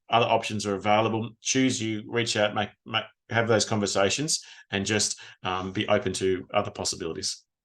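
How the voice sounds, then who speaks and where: Against a quiet background, a man with an Australian accent talks at a fairly quick pace in a fairly low pitch with fairly even intonation. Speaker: retired police officer and trauma recovery coach. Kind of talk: podcast interview. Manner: fast.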